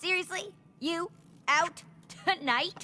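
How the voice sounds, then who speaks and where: A cartoonish character voice comes through at an extremely high pitch. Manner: brash, loud, direct.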